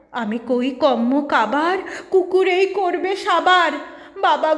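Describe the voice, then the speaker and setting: Lively intonation over noticeable background noise. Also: woman. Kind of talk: poetry reading.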